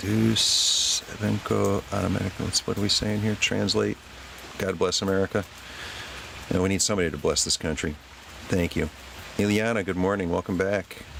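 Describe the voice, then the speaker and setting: A man at a moderate pace, with very even loudness, long, frequent pauses and noticeable background noise. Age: 60s. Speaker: livestreamer. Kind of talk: casual chat. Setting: outdoors.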